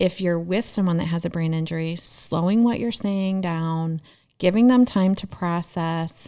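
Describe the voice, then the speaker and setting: Recorded very cleanly against a silent background, a woman with a plain, everyday voice speaks at a fairly slow pace and a fairly low pitch. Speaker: therapist. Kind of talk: casual chat.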